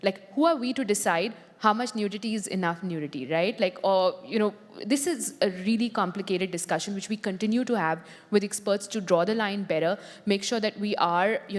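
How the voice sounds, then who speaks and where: A woman with an Indian accent, medium pitch, ordinary pitch variation and a fairly quick pace. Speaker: tech company policy executive. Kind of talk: panel discussion.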